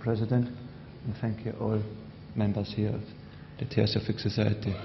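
A man speaks with a German accent at a fairly low pitch. His long, frequent pauses sit over noticeable background noise. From Austria. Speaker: society member. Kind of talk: speech. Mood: warm, smiling. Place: hall. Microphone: podium.

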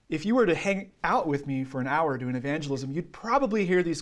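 The man talks at a fairly quick pace, and the background is quiet. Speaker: trainer. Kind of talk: lecture. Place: classroom. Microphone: camera far.

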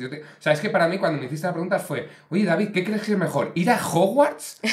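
The delivery is very fast and animated. Pitch varies in an ordinary way. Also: man. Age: 40s. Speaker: podcast host. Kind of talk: casual interview chat. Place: studio. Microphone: studio mic.

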